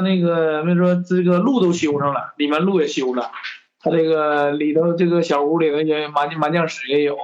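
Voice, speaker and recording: Audible room echo surrounds a man's fairly high-pitched voice. He talks at a moderate pace with ordinary pitch variation. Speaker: class reunion organizer. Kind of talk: casual chat.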